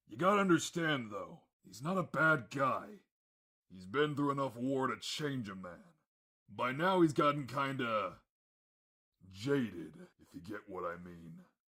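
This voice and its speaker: A man puts on a raspy character voice at a medium pitch, with very wide pitch swings and big swings in loudness. He keeps a moderate pace broken by long, frequent pauses. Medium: audio drama. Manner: gruff, plain-spoken.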